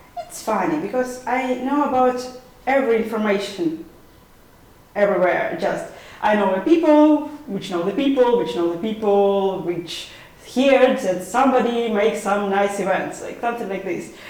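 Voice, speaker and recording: Over noticeable background noise and audible room echo, a woman with a Ukrainian accent speaks at a moderate pace, her pitch fairly high and her intonation lively. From Ukraine, Kharkiv. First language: Ukrainian or Russian. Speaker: volunteer. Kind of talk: interview.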